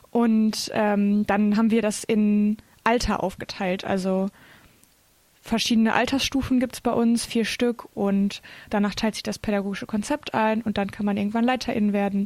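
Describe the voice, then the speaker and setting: The woman's fairly high voice stays in a monotone, flat intonation. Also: moderate pace. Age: 20s. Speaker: theology student and scout leader. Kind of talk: casual interview. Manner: hesitant, many filler sounds.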